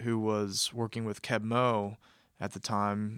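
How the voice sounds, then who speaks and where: A man with an American accent speaks fairly slowly at a medium pitch, his intonation monotone and flat and his tone bright and sharp. The recording is very clean with a silent background, dry and close with no echo. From US Midwest, Kansas City, Missouri. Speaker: recording studio manager and audio engineer. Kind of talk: casual interview conversation. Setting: recording studio room.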